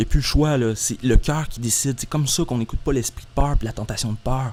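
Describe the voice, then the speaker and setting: A man with a Quebec accent talks at a medium pitch. His voice is somewhat breathy. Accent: Québécois French. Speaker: YouTuber. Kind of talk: monologue. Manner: fast; halting.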